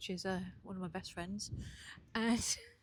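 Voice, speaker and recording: Somewhat breathy, a woman speaks at a moderate pace. Her pitch is medium, with ordinary variation. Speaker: aspiring entrepreneur and vlogger. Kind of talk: casual video diary. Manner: hesitant, many fillers. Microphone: new mic.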